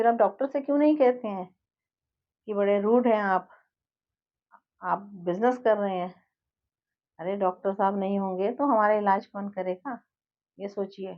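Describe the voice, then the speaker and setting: Calm in tone, a woman at medium pitch speaks with ordinary pitch variation and long, frequent pauses. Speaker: life coach and healer. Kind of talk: monologue to viewers. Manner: calm, never raises voice.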